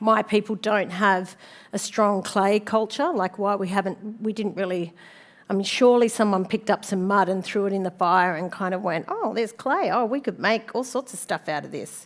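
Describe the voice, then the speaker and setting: A speaker with an Australian accent talks at a moderate pace with fairly even intonation. The recording is very clean, with a silent background. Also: woman. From Sydney, Australia. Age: 50s. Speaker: designer and speaker. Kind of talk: conference talk. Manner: casual, with many fillers.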